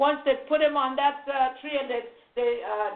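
This woman talks at a fairly slow pace in a high pitch. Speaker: preacher and radio host. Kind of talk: sermon preached live, with scripture quoting and praise calls. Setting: live radio broadcast with phone callers. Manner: fervent, repetitive, emphatic, exhorting.

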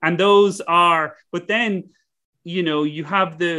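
A man's high-pitched, bright, sharp voice with an Irish accent, at a moderate pace. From west of Ireland. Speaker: business school professor and entrepreneur. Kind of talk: interview conversation.

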